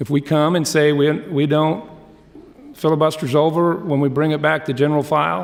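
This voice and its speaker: At a moderate pace, a man talks in a fairly high pitch with fairly even intonation. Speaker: state legislator. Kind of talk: floor debate speech. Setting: legislative chamber. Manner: loud; impassioned.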